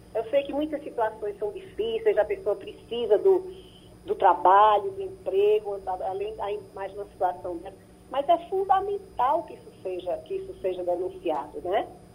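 With a fairly high pitch, a woman speaks in very wide pitch swings. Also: moderate pace, big swings in loudness. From Brazil. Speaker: psychologist and psychoanalyst. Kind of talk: radio interview. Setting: radio broadcast. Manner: halting, many fillers.

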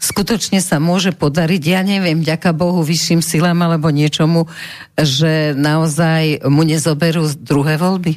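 A woman talks at a moderate pace in a normal speaking voice. Her pitch is fairly low and her intonation fairly even. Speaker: radio talk show host. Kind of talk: radio interview. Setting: studio.

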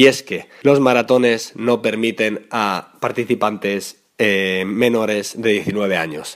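A man's voice, fairly low, holds a fairly even intonation. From Spain, Madrid. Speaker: mountain bike podcaster. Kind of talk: solo podcast commentary. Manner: halting with fillers and repetitions.

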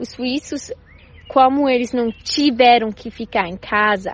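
Using a fairly high pitch, a woman speaks at a fairly slow pace with ordinary pitch variation. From Switzerland. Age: 20s. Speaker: primary school teacher. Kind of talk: recorded testimony. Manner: halting.

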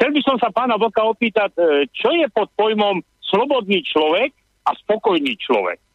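A man with a high voice, lively intonation, very even loudness and a moderate pace. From Slovakia. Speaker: radio caller, emigrant businessman. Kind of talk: phone-in opinion. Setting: phone call.

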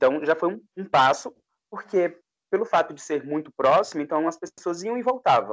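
Using lively intonation and big swings in loudness, a man with a high pitch talks at a moderate pace, the sound dry and close with no echo. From Pernambuco, Brazil (Caruaru area). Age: 20s. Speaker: events executive. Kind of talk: casual chat.

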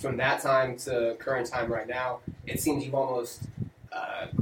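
A man of medium pitch talks over noticeable background noise. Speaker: livestream host. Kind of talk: casual chat. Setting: studio.

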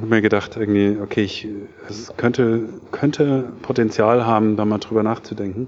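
A man with a medium-pitched voice talks at a moderate pace with fairly even intonation over noticeable background noise. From Germany, Taunus (Hesse). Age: 40s. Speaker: serial entrepreneur, startup founder. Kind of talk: interview at a meetup event. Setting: tech meetup event. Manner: many filler sounds (äh, ähm).

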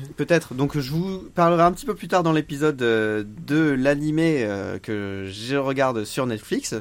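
A plain, everyday voice from a man, fairly high-pitched, with lively intonation at a fairly slow pace. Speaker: podcast co-host. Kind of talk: casual chat.

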